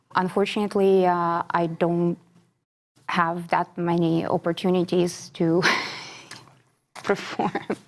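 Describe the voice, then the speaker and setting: Speaking in a Ukrainian accent, a woman holds a fairly low pitch and monotone, flat intonation at a fairly slow pace, with very even loudness and long, frequent pauses. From Ukraine. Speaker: classical singer. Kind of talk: interview.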